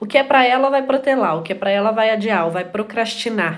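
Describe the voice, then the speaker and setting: A woman with a fairly high pitch and ordinary pitch variation talks at a fairly quick pace, with audible room echo. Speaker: live stream host. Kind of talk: live stream talk. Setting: live stream. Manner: fast.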